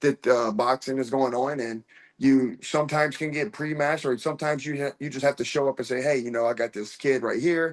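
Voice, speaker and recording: A man with an American accent has a plain, everyday voice at a medium pitch. He talks at a fairly quick pace with fairly even intonation. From US, small town. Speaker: professional MMA fighter. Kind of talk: interview.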